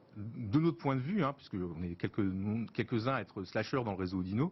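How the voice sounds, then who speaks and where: Very wide pitch swings mark this man's speech. He talks at a fairly quick pace in a somewhat breathy voice. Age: 50s. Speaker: business executive and start-up partner. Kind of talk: TV interview.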